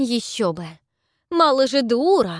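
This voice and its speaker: A female-sounding, put-on character voice rings out raised and projected at a high pitch with very wide pitch swings. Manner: mocking, mimicking.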